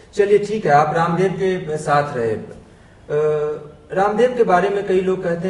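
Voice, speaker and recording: A man's voice with lively intonation. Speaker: TV journalist and anchor. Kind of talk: TV interview questions.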